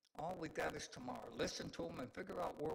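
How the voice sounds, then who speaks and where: Vocal fry runs through this man's fairly high pitch. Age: 80s+. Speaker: community advocate speaking at public comment. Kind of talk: public comment at council meeting. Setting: city council meeting. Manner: rambling, halting.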